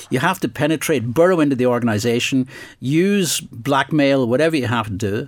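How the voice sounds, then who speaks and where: Very fast and with lively intonation, a man talks in a Northern Irish accent on a very clean recording with a silent background. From Northern Ireland. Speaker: investigative journalist and author. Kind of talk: interview. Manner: halting.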